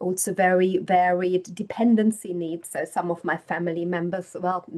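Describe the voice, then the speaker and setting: The speaker has a German accent. Delivery is monotone and flat at a moderate pace. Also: woman, medium pitch for a woman. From Germany. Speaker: professor. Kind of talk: lecture.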